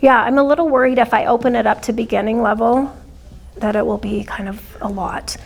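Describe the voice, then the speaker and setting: Over noticeable background noise, a soft-spoken woman talks at a fairly quick pace and fairly high pitch with ordinary pitch variation. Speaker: dance program coordinator. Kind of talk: training discussion. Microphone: too quiet, hard to hear.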